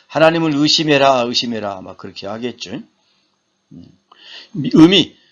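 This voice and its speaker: With very wide pitch swings, a fairly high-pitched man speaks fairly slowly, pausing long and often. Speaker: seminary professor. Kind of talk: lecture. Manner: halting.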